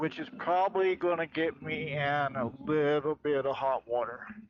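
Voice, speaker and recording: Fairly high male voice with an American accent and ordinary pitch variation, over noticeable background noise. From Florida. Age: 60s. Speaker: military veteran. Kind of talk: rant vlog.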